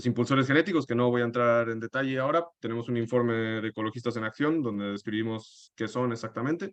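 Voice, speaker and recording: Pitched at a medium level, a man talks with ordinary pitch variation. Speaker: environmental activist. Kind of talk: webinar presentation. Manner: halting.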